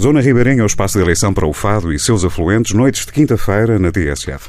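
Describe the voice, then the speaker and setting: A man's fairly low voice carries vocal fry and very wide pitch swings. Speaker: radio host. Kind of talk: radio interview. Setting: radio studio. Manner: formal.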